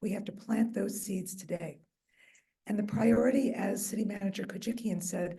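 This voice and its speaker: A woman's somewhat breathy, dark and mellow voice at medium pitch, with fairly even intonation and audible room echo. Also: moderate pace. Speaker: mayor and neighborhood association vice president. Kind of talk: public speech at community meeting. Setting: meeting hall with audience and microphone, also on Zoom.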